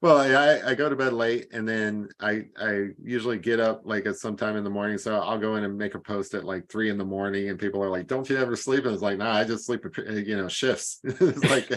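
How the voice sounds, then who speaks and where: With an American accent, a man talks at a fairly quick pace with hardly any pauses, his fairly low pitch showing ordinary variation. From US Midwest / Kentucky, military family. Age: 40s. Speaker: treasure hunt community member. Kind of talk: casual chat.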